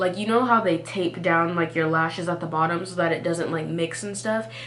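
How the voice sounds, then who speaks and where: A woman with an American accent speaks at a fairly low pitch with lively intonation, over noticeable background noise. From Texas. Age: young. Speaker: college student. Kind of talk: storytime talk to camera. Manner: casual, chatty.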